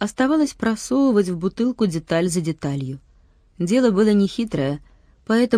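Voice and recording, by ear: Lively intonation, reading aloud in a natural voice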